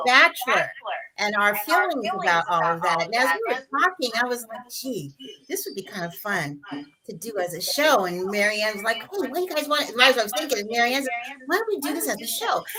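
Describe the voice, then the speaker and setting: Background noise is noticeable as a woman talks at a fairly quick pace. Her high voice makes very wide pitch swings. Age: 60s. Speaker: talk show co-host, wellness coach. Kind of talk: casual panel chat on a livestream.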